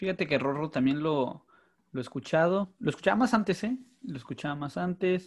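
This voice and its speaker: With a plain, everyday voice, a man talks at a fairly quick pace, fairly high in pitch, with lively intonation. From northern Mexico, Mexicali. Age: 30s. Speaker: podcast host. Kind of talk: casual chat.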